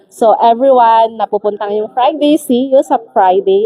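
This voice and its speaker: The intonation is lively. There is noticeable background noise. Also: woman. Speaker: livestream host. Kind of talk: casual live stream chat. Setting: live stream.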